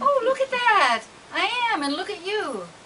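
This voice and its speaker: A woman puts on a squeaky character voice, extremely high in pitch. She talks at a moderate pace with light background noise. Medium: stage play. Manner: wry, casual.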